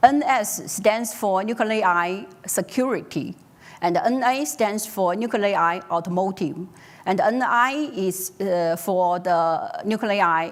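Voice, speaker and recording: Someone speaks at a very slow pace in a Mandarin accent, with ordinary pitch variation and audible room echo. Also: woman, medium pitch for a woman. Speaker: tech company executive presenter. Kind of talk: conference talk. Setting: stage with audience. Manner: halting, many fillers.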